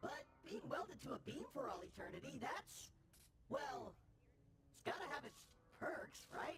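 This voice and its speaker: Clear background noise sits under a put-on character voice with a high pitch and very wide pitch swings. It moves at a moderate pace with long, frequent pauses. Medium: video game. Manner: chirpy, rambling.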